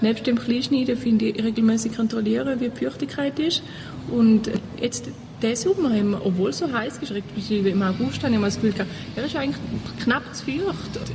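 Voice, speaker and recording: Over noticeable background noise, a woman talks at a fairly quick pace with a fairly high pitch and lively intonation. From Switzerland, Thurgau. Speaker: compost group volunteer. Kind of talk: interview.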